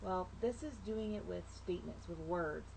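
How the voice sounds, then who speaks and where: A woman talks. Behind her are noticeable background noise and audible room echo. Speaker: math teacher. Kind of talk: recorded video lesson.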